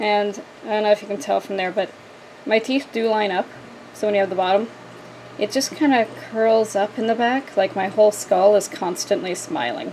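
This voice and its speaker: Mumbling at a moderate pace, a woman speaks with long, frequent pauses over noticeable background noise. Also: medium pitch for a woman, ordinary pitch variation. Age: 30s. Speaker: video creator. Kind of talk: personal talk to camera. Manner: casual.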